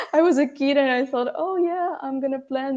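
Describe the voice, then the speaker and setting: A woman with a Russian accent speaks at a moderate pace in a dark, mellow tone. Her pitch variation is ordinary, and the background is quiet. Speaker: architect. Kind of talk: podcast interview. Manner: halting, many fillers.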